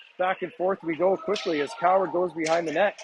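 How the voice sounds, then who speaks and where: Noticeable background noise runs behind speech delivered at a fairly quick pace. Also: man. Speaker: amateur hockey play-by-play commentator. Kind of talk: live commentary. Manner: fast, animated.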